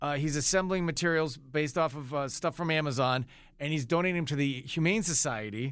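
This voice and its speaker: A man with an unremarkable speaking voice talks at a fairly high pitch with ordinary pitch variation. His pace is fairly quick. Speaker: radio host. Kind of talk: casual banter on a radio morning show. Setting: studio.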